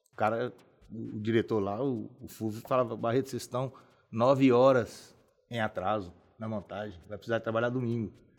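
In an ordinary speaking voice, a man speaks at a moderate pace and a medium pitch with fairly even intonation, on a very clean recording with a silent background. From Governador Valadares, Minas Gerais, Brazil. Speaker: civil engineer. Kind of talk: casual interview.

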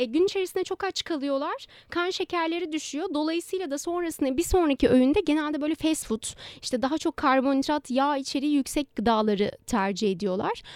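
The speech moves at a fairly quick pace with lively intonation, the sound dry and close with no echo. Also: woman, high pitch for a woman. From Istanbul, Turkey. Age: 20s. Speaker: dietitian. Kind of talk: interview.

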